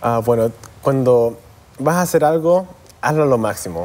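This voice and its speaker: A man talks at a moderate pace, his pitch moving in an ordinary way. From US, raised partly in Chile and Canada. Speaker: dental school student; guest. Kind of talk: interview. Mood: warm, earnest, smiling. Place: studio.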